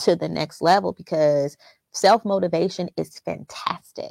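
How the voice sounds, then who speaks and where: A woman speaks in an animated tone. The recording is very clean, dry and close, with no echo and a silent background. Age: 30s. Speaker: business owner and mother. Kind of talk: casual interview chat.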